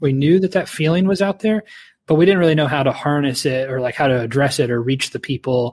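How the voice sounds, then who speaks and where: On a very clean, dry and close recording with no echo and a silent background, a man with a Midwestern American accent speaks very fast at a fairly high pitch with ordinary pitch variation. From Ohio. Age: 40s. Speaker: left-wing podcast co-host. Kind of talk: casual interview.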